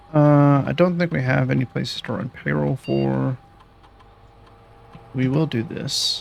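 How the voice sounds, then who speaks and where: With noticeable background noise behind him, a man talks at a fairly slow pace with long, frequent pauses. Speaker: video game streamer. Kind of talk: live gameplay commentary. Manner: stutters on some words; halting.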